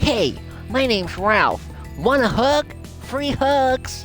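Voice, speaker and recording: In a put-on character voice, someone speaks at a very slow pace with a high pitch while clear music plays in the background. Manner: bright, cocky, cartoonish.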